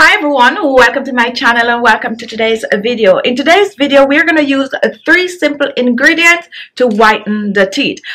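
A woman talks at a fairly quick pace in a raised, projected voice. Her tone is bright and sharp, her intonation lively. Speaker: beauty channel host. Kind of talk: tutorial. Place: home room. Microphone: phone near.

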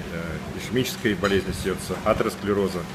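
At a fairly quick pace, the speech carries on through noticeable background noise. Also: man. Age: 50s. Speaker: businessman. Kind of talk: testimonial. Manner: hesitant, many filler sounds. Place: beach. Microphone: phone near.

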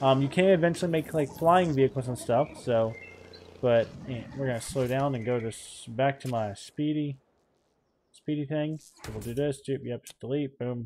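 Light background noise accompanies a man speaking at a moderate pace with ordinary pitch variation. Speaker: gaming YouTuber. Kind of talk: let's play commentary. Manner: animated. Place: home room. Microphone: headset.

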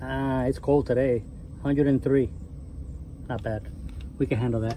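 A man talks at a moderate pace with fairly even intonation. The sound is dry with no echo, with light background noise. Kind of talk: casual walkthrough commentary. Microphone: phone near.

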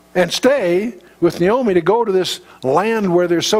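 Someone reads aloud in a natural voice. The pitch rises and falls in an ordinary way.

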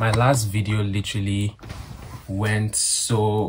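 Over light background noise, a man speaks very slowly in a fairly low, flat monotone. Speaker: vlogger. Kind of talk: casual vlog chat. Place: home room. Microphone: phone near.

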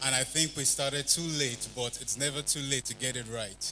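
With music behind him, a man talks at a moderate speed. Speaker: church spoken word performer. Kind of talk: casual address to a live audience. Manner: expressive, rhythmic. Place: church. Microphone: handheld.

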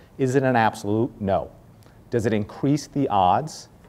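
A man with a Boston accent speaks in a dark, mellow tone. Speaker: corporate speaker and networking evangelist; speaker, networking evangelist. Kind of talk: guest talk to students. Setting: live talk to small audience. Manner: friendly, casual, humorous. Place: classroom.

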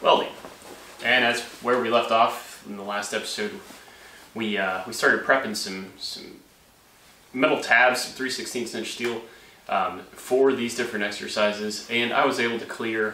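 Long, frequent pauses at a moderate pace, fairly even intonation, light background noise and audible room echo. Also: man. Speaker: hobby welding host. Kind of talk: tutorial. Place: garage. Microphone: camera far.

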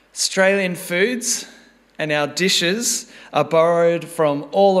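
A man's high pitch shows ordinary pitch variation, with a quiet background behind him. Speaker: preacher. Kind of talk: sermon. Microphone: podium.

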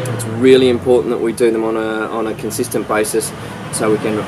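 A man against loud background noise. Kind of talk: wine tasting commentary. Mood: pleased, relaxed. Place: garden.

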